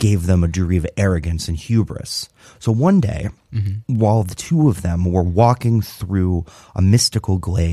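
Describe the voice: Pitch moves in an ordinary way throughout. This is plain reading aloud.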